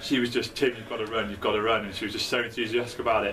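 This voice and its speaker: A man with a British accent talks at a very fast pace and a medium pitch. Room echo is audible, and there is noticeable background noise. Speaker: student election candidate. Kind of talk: casual video message. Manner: halting, many fillers.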